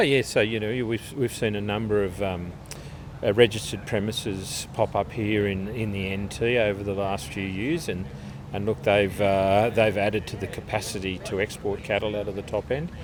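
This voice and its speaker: Fairly low pitch from a man with an Australian accent, moderate pace and ordinary pitch variation, amid noticeable background noise. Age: 50s. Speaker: live export industry chairman. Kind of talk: interview. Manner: halting, many repetitions.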